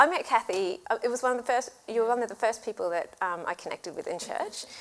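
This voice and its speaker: A woman talks at a very fast pace with a strong Australian accent and lively intonation. Her pitch is fairly high, and the recording is very clean over a silent background. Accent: Australian, still strong after 18 years. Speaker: church women's ministry host. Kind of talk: casual chat.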